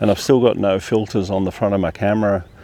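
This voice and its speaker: A man with an Australian accent speaks quietly at a fairly low pitch. Noticeable background noise runs behind him. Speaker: landscape photographer. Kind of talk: vlog tutorial. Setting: outdoors. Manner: speaking quietly.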